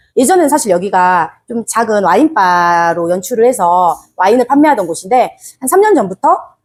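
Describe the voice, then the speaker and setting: A woman's voice with very wide pitch swings. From Jeolla, South Korea. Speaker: small business owner. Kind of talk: interview.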